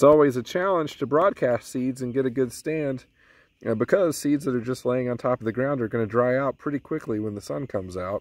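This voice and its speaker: Pitch variation is ordinary as a man speaks at a fairly quick pace. The recording sounds dry, with no echo. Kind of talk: tutorial. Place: open country. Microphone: phone near.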